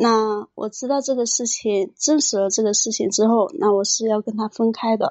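A woman's fairly high voice at a moderate pace, with ordinary pitch variation and hardly any pauses. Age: 30s. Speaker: caller. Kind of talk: personal story on call-in show. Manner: halting.

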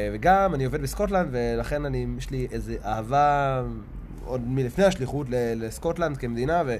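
A man with a medium-pitched voice sounds somewhat breathy. The room echo is easy to hear. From Israel. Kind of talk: casual interview. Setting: outdoors.

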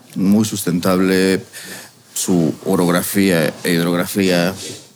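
Very slow, with long, frequent pauses, a man speaks at a very deep, low pitch against noticeable background noise. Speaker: restaurant chef. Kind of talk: casual interview.

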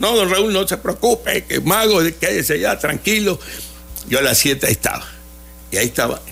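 A man speaks at very even loudness, with long, frequent pauses. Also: moderate pace. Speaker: children's entertainer (magician). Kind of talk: radio interview. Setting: radio studio.

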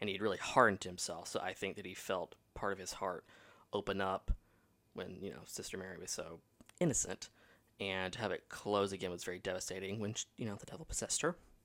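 In a very clean recording with a silent background, a man speaks loudly and very fast, his fairly low voice bright and sharp in tone. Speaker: podcast host. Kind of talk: casual podcast chat. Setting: recording with earphones on. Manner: loud, hyper, talks fast; stutters slightly.

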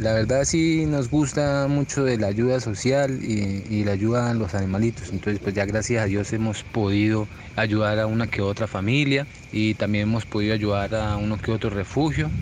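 Noticeable background noise sits behind a man speaking at a moderate pace. His fairly low voice shows ordinary pitch variation and very even loudness. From Colombia, Piedecuesta, Santander. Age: 40s. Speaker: entrepreneur, steel products maker. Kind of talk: interview testimony. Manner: halting, with fillers.

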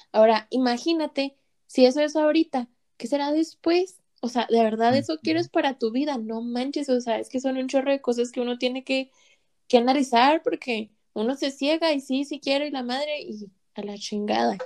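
This woman's voice is high-pitched, with ordinary pitch variation at a moderate pace. The sound is dry and close, with no echo. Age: 20s. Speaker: guest. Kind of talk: casual chat.

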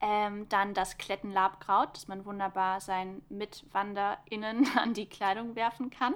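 A woman has an unremarkable speaking voice at a medium pitch, with fairly even intonation. She goes at a fairly slow pace with hardly any pauses and big swings in loudness. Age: 20s. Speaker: environmental science student and podcast co-host. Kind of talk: casual educational chat.

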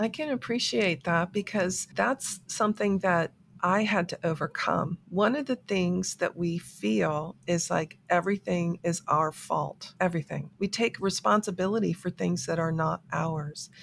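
A woman with an American accent, fairly low-pitched and with vocal fry, fairly slow with hardly any pauses and lively intonation. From South Florida. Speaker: author and life coach. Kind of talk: interview.

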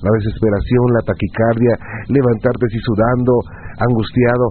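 A man's voice against noticeable background noise. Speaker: radio host. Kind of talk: late-night call-in radio show.

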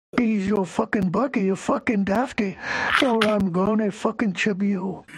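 A female-sounding voice does a put-on character voice at a medium pitch and a moderate pace. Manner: aggressive, threatening, comedic.

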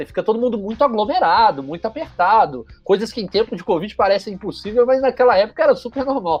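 Talking at a very fast pace with hardly any pauses, a man uses lively intonation in a high voice. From Brazil, Juiz de Fora (Minas Gerais). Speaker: journalist and content creator. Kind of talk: casual interview storytelling.

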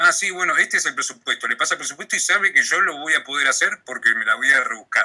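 A man with a Rioplatense accent talks very fast with hardly any pauses. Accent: Argentine Rioplatense Spanish. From Argentina, Patagonia (Comodoro Rivadavia). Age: 20s. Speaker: graphic designer and radio announcer. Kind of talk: casual interview.

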